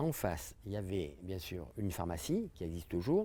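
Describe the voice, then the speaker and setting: A dark, mellow tone with very wide pitch swings at a moderate pace, on a very clean recording with a silent background. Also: man. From France, Dordogne (Terrasson). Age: 70s. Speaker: local resident recalling the past. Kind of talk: interview reminiscence.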